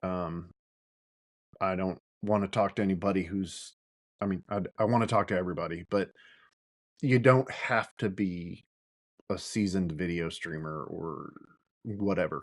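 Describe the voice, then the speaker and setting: Mumbling at a moderate pace with long, frequent pauses, a man with a very deep, low pitch and fairly even intonation talks over a quiet background. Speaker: podcast host. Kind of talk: solo podcast monologue. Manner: casual, hesitant with fillers.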